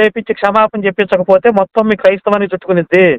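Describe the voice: A high-pitched man at a fast pace, with a clear, smooth tone and fairly even intonation, in a dry, close sound with no echo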